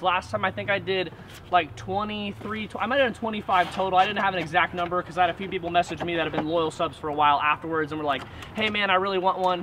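With light background noise behind him, a man speaks in a raised, projected voice with ordinary pitch variation. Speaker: channel host selling mystery boxes. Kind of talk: casual vlog chat. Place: garden.

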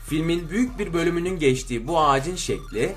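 A man with a fairly high voice talks at a fairly quick pace with lively intonation while clear music plays in the background.

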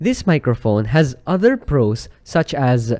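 Against a quiet background, a man with a dark, mellow tone speaks with very wide pitch swings. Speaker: product reviewer. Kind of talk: product review commentary. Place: home room. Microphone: studio mic.

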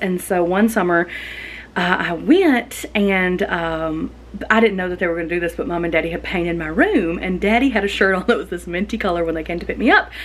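A woman talks at a fairly quick pace, her pitch varying in an ordinary way. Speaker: lifestyle vlogger. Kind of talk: casual vlog chat. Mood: cheerful, nostalgic storytelling. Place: kitchen. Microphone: phone near.

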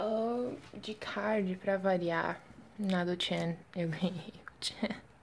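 Against noticeable background noise, a woman speaks at a very slow pace with fairly even intonation. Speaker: K-pop fan vlogger. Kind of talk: unboxing video.

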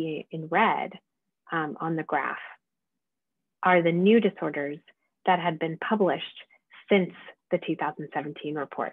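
Against a quiet background and with dry sound and no echo, a woman talks at a fairly slow pace, with ordinary pitch variation and long, frequent pauses. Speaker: medical lecturer. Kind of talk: lecture. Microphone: webcam.

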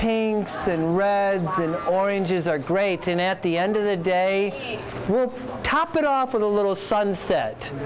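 A man speaks fairly slowly at a high pitch, with ordinary pitch variation. Noticeable background noise sits behind him. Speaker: interviewee. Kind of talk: interview answer. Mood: enthusiastic, warm. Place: hall.

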